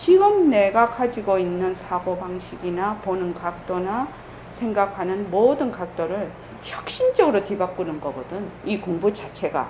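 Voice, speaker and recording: A woman is speaking in a room with audible echo. Noticeable background noise can be heard too. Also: medium pitch for a woman, ordinary pitch variation, fairly slow pace. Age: 60s. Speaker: Buddhist meditation center head teacher. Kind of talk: dharma talk orientation for new members. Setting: temple Sunday service. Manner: casual, conversational.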